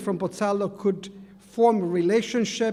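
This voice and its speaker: A man's high voice in a strong Italian accent, fairly even in intonation, over noticeable background noise. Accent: heavy Italian. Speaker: community society president. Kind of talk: award acceptance speech.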